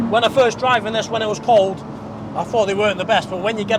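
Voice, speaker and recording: A man speaks with a British accent. Loud background noise fills a dry sound with no echo. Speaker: car reviewer. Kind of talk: car review to camera while driving. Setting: in a car. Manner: enthusiastic. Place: car. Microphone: lapel.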